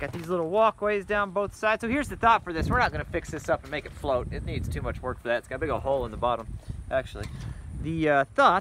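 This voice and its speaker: A man speaks very fast in a dry sound with no echo, with noticeable background noise behind him. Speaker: channel host. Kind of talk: casual vlog chat. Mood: upbeat, curious. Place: open country. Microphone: phone near.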